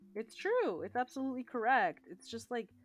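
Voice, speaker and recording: The delivery is animated, with very wide pitch swings. The speaker has a Canadian accent and keeps a fairly quick pace. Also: woman. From Ontario, Canada. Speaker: podcast co-host, teacher. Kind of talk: casual chat.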